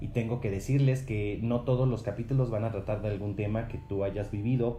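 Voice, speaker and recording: In a room with audible echo, a man talks at a moderate pace and medium pitch, keeping his intonation fairly even. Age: 20s. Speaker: podcaster. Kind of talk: solo monologue podcast.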